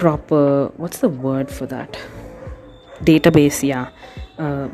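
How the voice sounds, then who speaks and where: Over music in the background, a woman with a non-native accent speaks at a very slow pace, her pitch very deep and low and her intonation fairly even. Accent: self-conscious non-native. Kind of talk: casual tutorial talk to camera. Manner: hesitant, many pauses.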